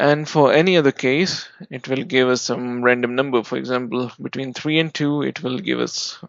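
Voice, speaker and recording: A man with an Indian accent talks at a moderate pace with hardly any pauses. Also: medium pitch for a man, ordinary pitch variation. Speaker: software developer. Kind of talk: coding tutorial explanation. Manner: casual, explanatory.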